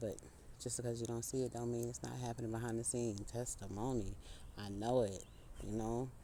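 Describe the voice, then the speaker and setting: There is audible room echo as a man speaks at a fairly quick pace and a medium pitch. His tone is dark and mellow, his intonation monotone and flat. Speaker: spiritual speaker. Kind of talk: inspirational monologue. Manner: casual, conversational; halting.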